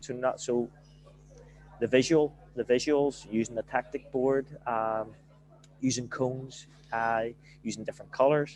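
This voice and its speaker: Speaking in a strong Belfast accent at a fairly slow pace, the voice stays monotone and flat, with long, frequent pauses. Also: man, medium pitch for a man. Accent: broad Belfast. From Northern Ireland, Belfast. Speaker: football manager. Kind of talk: podcast interview.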